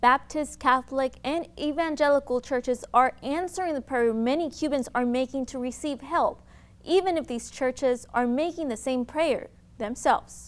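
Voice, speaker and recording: Recorded very cleanly against a silent background, a woman with a high pitch speaks at a moderate pace with ordinary pitch variation. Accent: American. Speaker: TV news reporter. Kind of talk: TV news report.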